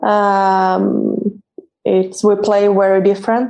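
This woman has a medium-pitched voice with a dark, mellow tone. She speaks with a Swedish accent. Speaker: professional football goalkeeper. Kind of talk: interview. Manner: halting.

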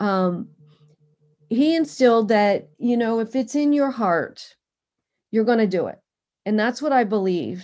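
A woman with an American accent speaks slowly, with long, frequent pauses, lively intonation, a dark, mellow tone and a fairly high pitch. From Pennsylvania (Harrisburg area). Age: 50s. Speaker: endurance athlete and cancer survivor. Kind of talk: interview.

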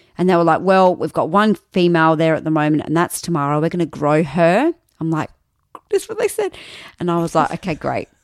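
Female speech in an Australian accent, fairly low in pitch and fairly quick, with fairly even intonation, dry and close with no echo, on a very clean recording with a silent background. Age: 30s. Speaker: radio announcer. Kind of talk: casual chat.

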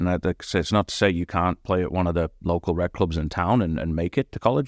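In an American accent, a man talks at a very fast pace against a quiet background. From northeast England, near Durham. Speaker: soccer coach and club director. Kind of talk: casual interview. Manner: repetitive fillers and word repeats.

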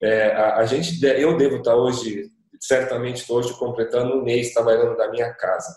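This man has a normal speaking voice at medium pitch, with ordinary pitch variation. His pace is moderate and his loudness very even. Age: 40s. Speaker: digital agency association representative. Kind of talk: panel discussion.

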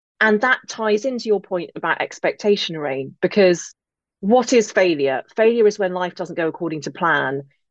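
The speaker, with an English accent, uses very wide pitch swings. The background is quiet, and the sound is dry and close with no echo. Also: woman. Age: 40s. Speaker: author and podcaster. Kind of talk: interview chat.

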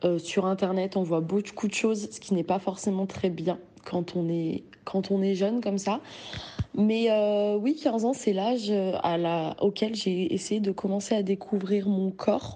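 A woman with an ordinary speaking voice talks at a fairly slow pace, her medium pitch showing ordinary variation. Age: 20s. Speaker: testimony contributor. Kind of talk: recorded testimony.

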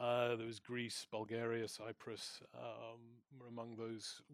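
The man's intonation is monotone and flat at a medium pitch. He keeps to a fairly slow pace. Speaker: senior researcher on arms exports. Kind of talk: panel discussion. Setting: stage with audience.

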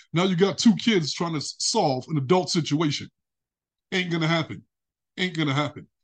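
A moderate pace in a New York accent, with long, frequent pauses, ordinary pitch variation and a quiet background. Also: man, high pitch for a man. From Brooklyn, New York. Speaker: relationship coach. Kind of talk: interview conversation.

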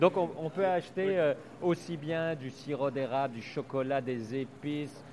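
A man with a plain, everyday voice speaks at a fairly slow pace, his pitch fairly high. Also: ordinary pitch variation. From Belgium. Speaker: food podcast host. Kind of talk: podcast intro and outro; interview. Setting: on site at farm shop.

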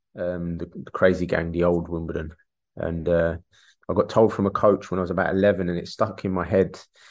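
A man with a South London accent and a very deep, low voice, talking at a fairly quick pace against a quiet background. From London, England (Peckham), Irish parents. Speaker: former professional footballer, now coach. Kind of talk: casual interview chat. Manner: repetitive, halting with fillers.

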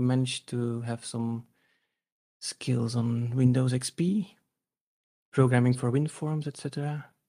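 A man with a Dutch accent and a medium pitch speaks at a very slow pace. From Belgium, Dutch-speaking. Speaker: former audiologist and musician. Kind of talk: casual interview. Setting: video call.

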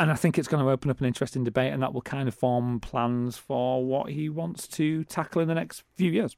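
With a Manchester accent, a man speaks in a medium pitch. He keeps a fairly quick pace with hardly any pauses. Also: ordinary pitch variation. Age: 40s. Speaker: radio co-host and city magazine journalist. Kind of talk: casual chat.

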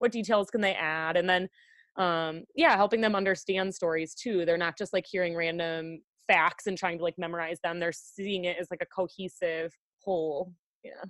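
In an American accent, an unremarkable speaking voice moves at a moderate pace with fairly even intonation, the sound dry and close with no echo over a quiet background. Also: woman, fairly low pitch for a woman. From Wisconsin, US Midwest. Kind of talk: casual interview chat.

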